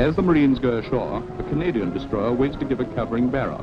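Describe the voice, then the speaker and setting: Noticeable background noise is audible throughout. The words come out very fast. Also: man. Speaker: newsreel narrator. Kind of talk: 1940s-50s newsreel-style documentary narration. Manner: clipped, brisk, plummy and authoritative, urgent newsreel announcer delivery.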